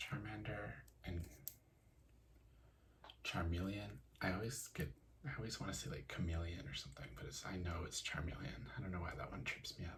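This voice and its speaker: A soft-spoken man with a very deep, low voice and a relaxed tone speaks at a moderate pace. His pitch swings very widely, with long, frequent pauses. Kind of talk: soft-spoken ASMR talk to camera about card collecting. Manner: soft-spoken, relaxed.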